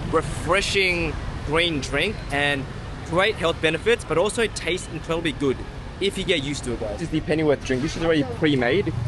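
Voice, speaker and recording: A man at a moderate pace, with noticeable background noise behind him. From Australia. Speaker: food and travel vlogger. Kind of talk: casual vlog narration. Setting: outdoors. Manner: animated.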